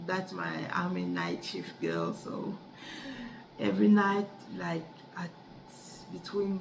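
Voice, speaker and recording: A woman with a French accent talks at a very slow pace. Room echo is audible, and background noise is noticeable. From Cameroon. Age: 30s. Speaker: adult student. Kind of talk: class speech assignment. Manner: halting, with many repetitions and restarts.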